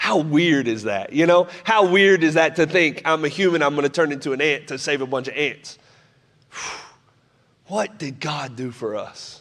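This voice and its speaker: With lively intonation and a fairly high pitch, a man talks at a moderate pace in an unremarkable speaking voice. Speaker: pastor. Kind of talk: church sermon; casual preaching to congregation, storytelling.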